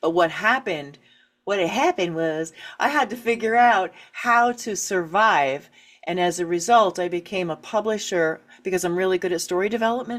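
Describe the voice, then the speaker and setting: Lively intonation marks a woman's medium-pitched speech in a plain, everyday voice. She keeps a moderate pace on a very clean recording with a silent background. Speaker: author and writing coach. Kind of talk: interview.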